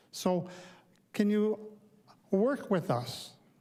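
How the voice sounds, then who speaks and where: The recording is very clean, with a silent background. The speaker has a dark, mellow tone and a Canadian accent. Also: man. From Ontario, Canada. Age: 60s. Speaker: public delegate at council meeting. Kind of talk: public deputation speech. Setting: council chamber lectern. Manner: unscripted, conversational.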